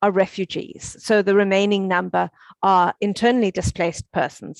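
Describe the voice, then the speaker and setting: With a South African accent, a woman speaks at medium pitch with fairly even intonation, the sound dry and close with no echo. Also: quiet background. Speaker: UN education officer. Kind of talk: conference talk. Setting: conference stage. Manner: halting, with fillers.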